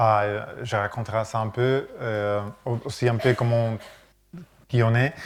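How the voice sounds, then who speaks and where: A man speaks at a very slow pace in a monotone, flat voice of medium pitch, with long, frequent pauses. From Catalonia, Spain. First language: Catalan (speaking French). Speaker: architect. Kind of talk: lecture. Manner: halting.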